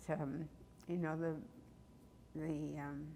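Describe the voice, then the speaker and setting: Very deep and low in pitch, a woman speaks very slowly in a monotone, flat way. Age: 80s+. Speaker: church member. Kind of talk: interview reminiscence. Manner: halting.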